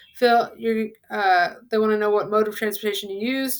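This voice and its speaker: In a normal speaking voice, a woman talks at a moderate pace and fairly high pitch with ordinary pitch variation. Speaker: Spanish teacher. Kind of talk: tutorial.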